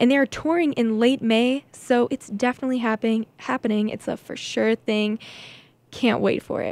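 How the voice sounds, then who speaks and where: At a moderate pace, a high-pitched woman speaks with fairly even intonation in a dry sound with no echo. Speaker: college radio DJ. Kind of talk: radio DJ chatting between songs. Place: studio.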